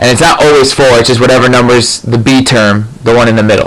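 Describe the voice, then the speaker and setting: Against noticeable background noise, a man talks at a medium pitch with fairly even intonation. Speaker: math tutor. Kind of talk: tutorial. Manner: fast.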